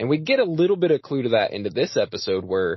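Somewhat breathy and lively in intonation, a man talks with an American accent. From United States. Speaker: podcast host. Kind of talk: casual chat.

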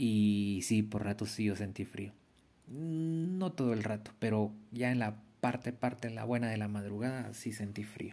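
In a very clean recording with a silent background, a man speaks fairly slowly in a fairly low voice with ordinary pitch variation. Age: 40s. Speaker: podcaster. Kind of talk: personal storytelling monologue. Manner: hesitant, with many fillers and repetitions.

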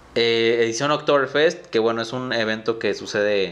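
Speaking at a moderate pace, a man talks with a northern Mexican accent. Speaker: podcast host. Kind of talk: casual chat.

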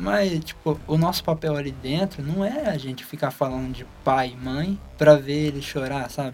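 There is noticeable noise behind this man's fairly high voice. He keeps a moderate pace with hardly any pauses and ordinary shifts in pitch. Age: young. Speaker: young church volunteer and musician. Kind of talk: casual chat.

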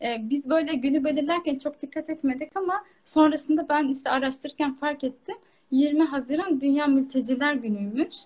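Pitched high, a woman's voice moves at a fairly slow pace. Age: 20s. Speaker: dietitian. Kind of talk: casual chat.

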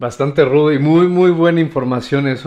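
A man talks in a normal speaking voice with ordinary pitch variation. The background is quiet. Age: 30s. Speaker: life coach. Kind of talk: casual chat.

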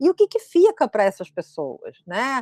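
The woman speaks at a fairly slow pace and high pitch, the sound dry and close with no echo. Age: 60s. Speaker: history professor. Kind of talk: lecture. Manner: halting, with many repeated fillers.

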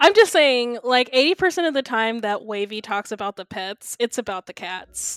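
A woman talks in a normal speaking voice, fairly high in pitch, with lively intonation and hardly any pauses. Her loudness swings widely, and the sound is dry and close with no echo. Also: fairly slow pace. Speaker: podcast host. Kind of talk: casual chat.

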